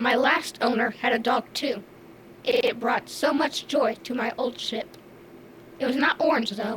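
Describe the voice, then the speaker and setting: A female-sounding, put-on character voice comes through at a fairly high pitch. The pace is moderate, with clear background noise behind it. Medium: audio drama. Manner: halting, stutters on repeated syllables; literal, computer-like phrasing.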